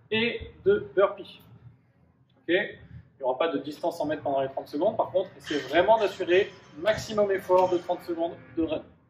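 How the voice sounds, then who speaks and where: A man with a high pitch and ordinary pitch variation talks at a moderate pace, pausing long and often. Audible room echo and light background noise are present. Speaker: fitness coach. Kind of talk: workout explanation tutorial. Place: gym.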